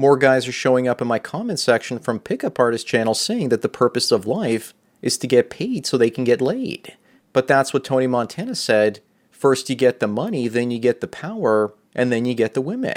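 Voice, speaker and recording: Fairly quick delivery in a normal speaking voice with ordinary pitch variation. The sound is dry and close with no echo, the recording very clean with a silent background. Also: man, medium pitch for a man. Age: 40s. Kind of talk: solo monologue video answering a viewer's question.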